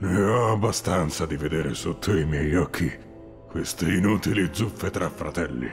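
A man's cartoonish character voice, very deep and low, at a moderate pace over clear music in the background. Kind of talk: anime fandub.

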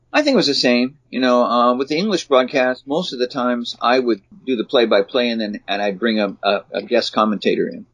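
In a normal speaking voice with a General American accent, a man talks at a fairly quick pace with hardly any pauses, medium pitch and ordinary pitch variation, in a dry, close sound with no echo. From Southern California, USA. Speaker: baseball commentator and former general manager. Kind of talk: interview answer. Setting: video call.

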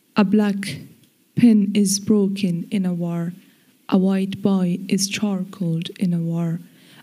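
A woman speaks very slowly in a dark, mellow, somewhat breathy tone, her intonation monotone and flat. Behind her, the background stays quiet. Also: medium pitch for a woman. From Afghanistan. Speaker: poet. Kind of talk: poetry reading. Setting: stage with audience. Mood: solemn, grave. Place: stage. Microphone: podium.

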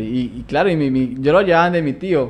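A man speaks fairly quickly in a fairly high pitch. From Colombia, Palmira (Valle del Cauca); Valle del Cauca, Colombia. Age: 20s. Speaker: barber; guest. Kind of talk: interview. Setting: studio. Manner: halting, repeats words. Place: studio. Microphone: studio mic.

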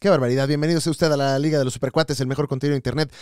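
In a Mexican accent, a man speaks at a fairly high pitch. The recording is very clean, with a silent background. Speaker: comedy podcast host. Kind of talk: casual chat. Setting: live show with audience.

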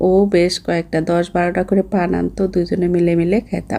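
A woman's fairly low voice, dark and mellow in tone, with monotone, flat intonation. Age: 40s. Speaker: vlogger. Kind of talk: travel vlog narration. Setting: on a plane.

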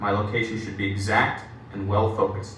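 A man speaks with little pitch movement. Audible room echo surrounds the voice. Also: fairly low pitch for a man, moderate pace, fairly bright tone.

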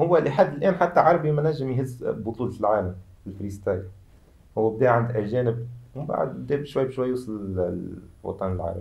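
With lively intonation, a man talks at a moderate pace in a somewhat breathy voice. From Tunisia. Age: 20s. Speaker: freestyle football athlete; guest. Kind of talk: interview. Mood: relaxed, animated. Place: studio.

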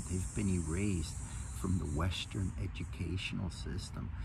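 A man with a very deep, low pitch at a fairly slow pace, his intonation lively, against noticeable background noise. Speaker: health coach. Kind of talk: guided meditation and talk on energy work. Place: garden. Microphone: phone near.

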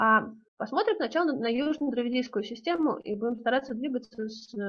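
A woman speaks at a moderate pace. Her voice is fairly high, with ordinary pitch variation. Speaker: linguistics researcher; presenter. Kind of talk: conference talk. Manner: halting. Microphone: too quiet, far from mic at first; video call.

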